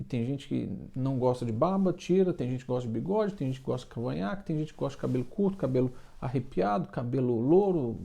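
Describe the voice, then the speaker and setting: A man speaks very fast at a medium pitch. His voice has very wide pitch swings and big swings in loudness. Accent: Minas Gerais. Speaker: baker and online business coach. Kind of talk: casual motivational talk to camera. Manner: halting, with frequent filler repetitions.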